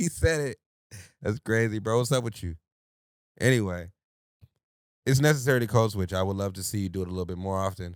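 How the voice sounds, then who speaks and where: Speech comes at a very fast pace with an animated tone, broken by long, frequent pauses. The recording is very clean, with a silent background. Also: man, fairly low pitch for a man, ordinary pitch variation. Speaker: podcast co-host. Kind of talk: casual chat. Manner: switches voices and tone often.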